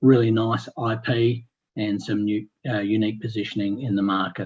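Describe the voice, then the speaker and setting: A man's medium-pitched, somewhat breathy voice with an Australian accent and ordinary pitch variation. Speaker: company executive presenting. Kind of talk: company presentation on webinar. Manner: fast.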